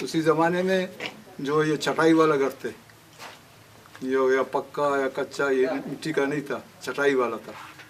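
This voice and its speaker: A man's fairly high voice comes through alongside noticeable background noise. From Balochistan, Pakistan. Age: 80s+. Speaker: tsunami eyewitness. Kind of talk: interview answer.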